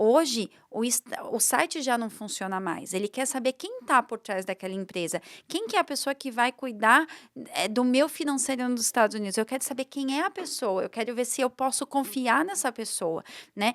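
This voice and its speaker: With a high pitch and lively intonation, a woman's voice comes through dry and close with no echo in a very clean recording with a silent background. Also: moderate pace. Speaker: social media influencer. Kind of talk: podcast interview.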